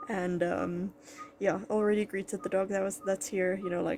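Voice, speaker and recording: A woman speaks quietly at a moderate pace, medium in pitch with ordinary pitch variation. Noticeable background noise runs underneath. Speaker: vet student vlogger. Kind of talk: casual vlog talk.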